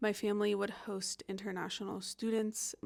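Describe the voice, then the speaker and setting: A woman with a normal speaking voice and an American accent speaks at a medium pitch with fairly even intonation. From US South, North Carolina. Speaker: vlogger, expat teacher. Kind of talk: casual vlog monologue.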